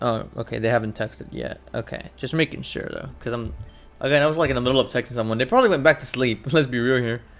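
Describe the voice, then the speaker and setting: A man's medium-pitched voice at a very fast pace, fairly even in intonation, with music in the background. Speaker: gaming streamer. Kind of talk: live gameplay commentary. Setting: live stream. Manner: casual, conversational.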